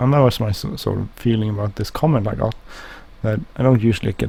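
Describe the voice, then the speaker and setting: A man's fairly low, somewhat breathy mumbling at a very fast pace, dark and mellow in tone. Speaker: gaming video creator. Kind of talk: gameplay commentary. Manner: halting.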